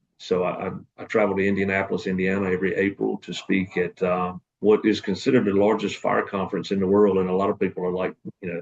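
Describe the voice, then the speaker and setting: Very fast and monotone, a man with a Southern US accent talks at a fairly low pitch with flat intonation. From North Carolina, US South. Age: 40s. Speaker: assistant fire chief and student. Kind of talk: class self-introduction video. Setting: at work in fire station. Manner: hesitant, many fillers.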